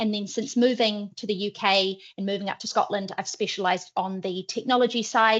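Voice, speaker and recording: A woman talks at a fairly quick pace. She has a New Zealand accent and a medium pitch. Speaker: head of marketing. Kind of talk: webinar presentation.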